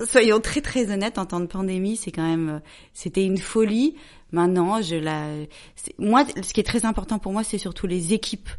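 Against a quiet background, a woman speaks at a moderate pace in an ordinary speaking voice, with a medium pitch, ordinary pitch variation and big swings in loudness. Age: 40s. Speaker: journalist and entrepreneur. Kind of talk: casual chat.

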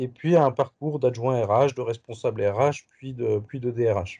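At a very slow pace, a man speaks at medium pitch in a dark, mellow tone. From Paris, France. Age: 40s. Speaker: HR professional, burnout survivor. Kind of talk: interview testimony. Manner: hesitant, many fillers.

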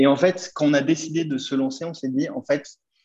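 The tone here is dark and mellow. A man delivers it at a fairly quick pace. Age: 30s. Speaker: startup founder. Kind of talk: interview.

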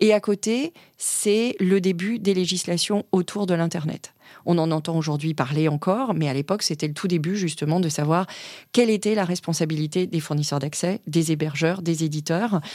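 In a very clean recording with a silent background, a woman speaks with a fairly low pitch, a dark, mellow tone and ordinary pitch variation. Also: moderate pace. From born and raised in Africa, also European culture. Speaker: corporate lawyer. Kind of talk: interview. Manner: hesitant fillers.

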